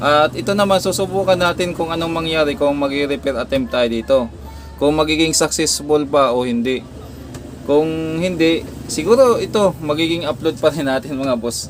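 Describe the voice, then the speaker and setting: A man talks at a moderate pace with ordinary pitch variation. His pitch is fairly high, and music plays in the background. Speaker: electronics repair vlogger. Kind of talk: repair tutorial. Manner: halting.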